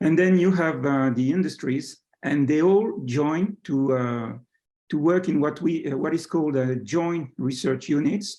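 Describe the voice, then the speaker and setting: A man speaks with a French accent at a moderate pace. His intonation is lively. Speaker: science attaché, professor. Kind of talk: presentation. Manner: hesitant, many fillers.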